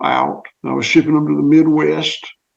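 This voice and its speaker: A man with a Southern US accent, talking at a fairly quick pace. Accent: Southern US (Georgia). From US South (southwest Georgia, Clay County). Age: 60s. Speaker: farmer. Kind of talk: interview.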